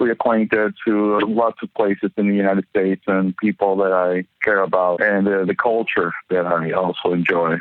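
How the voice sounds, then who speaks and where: With a Spanish accent, a man speaks at a fairly low pitch in a monotone, flat intonation, his loudness very even and his speech with hardly any pauses. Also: moderate pace. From Venezuela, Maracaibo. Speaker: journalist. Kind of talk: interview. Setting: phone call. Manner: halting, with repetitions. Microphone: poor phone recording quality, cleaned up.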